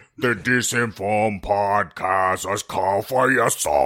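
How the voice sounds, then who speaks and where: A man's put-on character voice, fairly low-pitched and fairly slow. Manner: ominous, theatrical.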